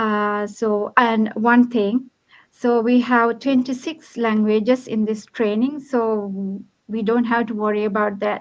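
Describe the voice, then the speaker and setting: In a Sri Lankan accent, a woman speaks at a very slow pace with fairly even intonation. The background is quiet. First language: Sinhala. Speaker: online business owner. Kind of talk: livestream panel chat. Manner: hesitant, many fillers.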